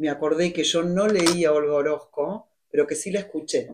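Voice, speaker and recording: A woman with a fairly low pitch and a dark, mellow tone speaks at a fairly slow pace. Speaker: writer. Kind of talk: conversation at literary event. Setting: library event with audience.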